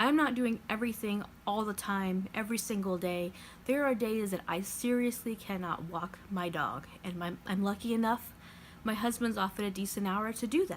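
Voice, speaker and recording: At a moderate pace, a woman speaks with medium pitch, ordinary pitch variation and a somewhat breathy sound. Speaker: lifestyle vlogger. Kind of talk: casual vlog talk. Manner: halting, stumbling over words.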